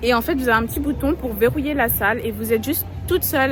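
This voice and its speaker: The woman rushes through her words at a very fast pace while noticeable background noise fills the recording. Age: young. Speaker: travel vlogger. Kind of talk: travel vlog narration. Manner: hesitant, many fillers.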